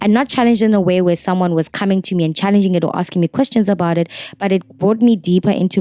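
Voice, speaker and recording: A dark, mellow tone on a very clean recording with a silent background. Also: woman, dry, close sound with no echo. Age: adult. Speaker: vlogger. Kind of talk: personal vlog monologue. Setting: hotel room. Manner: fast.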